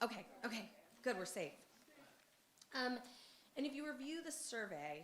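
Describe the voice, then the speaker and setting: A woman speaks loudly in a high pitch at a moderate pace, her pitch swinging very widely, with long, frequent pauses and audible room echo. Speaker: parent giving public comment. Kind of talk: public comment at school board meeting. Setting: public meeting with microphone.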